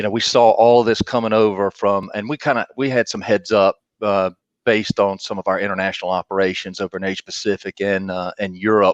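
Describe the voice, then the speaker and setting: Over a quiet background, a man with a slight Southern US accent speaks at a fairly low pitch with fairly even intonation, the sound dry and close with no echo. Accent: Southern drawl, slight. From US South, North Carolina. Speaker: marketing executive. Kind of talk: interview. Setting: live video stream.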